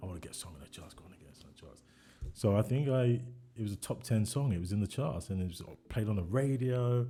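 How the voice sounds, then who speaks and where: Talking at a very fast clip in a London accent, a man with a fairly low, somewhat breathy voice and a dark, mellow tone uses lively intonation. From East London, England. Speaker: songwriter and music producer. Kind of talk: casual chat.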